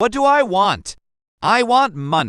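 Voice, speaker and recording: In a put-on character voice, a man speaks at a high pitch with very wide pitch swings. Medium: read story.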